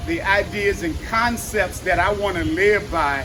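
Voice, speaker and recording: Over noticeable background noise, a man with a high pitch uses a raised, projected voice at a fairly slow pace. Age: 60s. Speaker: fitness trainer and active aging speaker. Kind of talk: motivational talk. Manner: animated; halting.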